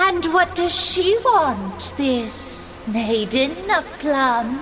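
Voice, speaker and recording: A put-on character voice speaks at a high pitch and a very slow pace. Clear background noise can be heard. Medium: audio drama. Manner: otherworldly, solemn.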